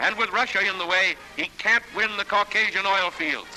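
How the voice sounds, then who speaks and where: Over music in the background, a man with a high pitch speaks at a moderate pace and fairly even intonation. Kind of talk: newsreel narration.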